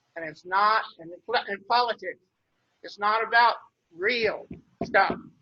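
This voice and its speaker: A man with a western US accent speaks very slowly in a high pitch. His intonation is fairly even, while his loudness swings widely. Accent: rural western US. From Wyoming, Douglas area. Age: old. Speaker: rancher giving public comment. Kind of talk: public comment at commission meeting. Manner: halting, repetitive restarts; blunt, emphatic.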